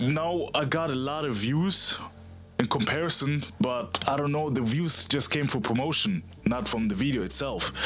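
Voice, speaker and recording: A man speaks at a moderate pace with ordinary pitch variation. Music plays in the background. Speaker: fitness content creator. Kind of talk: casual talk to camera. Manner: stuttering, hesitant.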